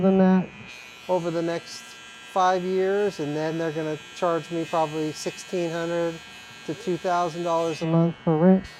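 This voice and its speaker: This man has a high voice and talks at a moderate pace with ordinary pitch variation. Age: 50s. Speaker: barber, barbershop owner. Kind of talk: casual chat.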